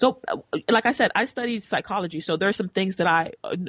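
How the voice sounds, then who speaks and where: A woman is speaking. Her intonation is lively. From Nigeria (Igbo), partly raised in US. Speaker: entrepreneur promoting African literacy. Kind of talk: interview conversation. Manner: halting, many false starts and repetitions.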